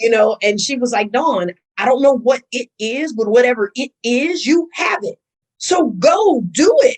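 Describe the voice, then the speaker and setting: A woman with an American accent speaks fairly slowly at a high pitch, her tone animated and her intonation lively. The sound is dry and close, with no echo. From US Midwest, Milwaukee. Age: 50s. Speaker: school administrator and actress. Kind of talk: interview.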